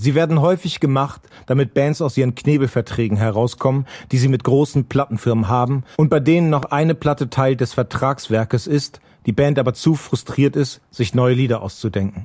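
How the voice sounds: A man speaks at a medium pitch and a fairly quick pace. His tone is slightly mellow. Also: ordinary pitch variation, few pauses.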